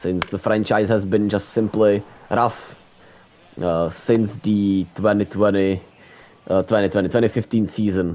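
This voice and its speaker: A man with a non-native accent talks at a fairly slow pace in a dark, mellow, fairly low voice, his intonation fairly even and broken by long, frequent pauses. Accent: noticeable non-native. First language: not English. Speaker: gaming streamer. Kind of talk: live play-by-play commentary of a video game. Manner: halting.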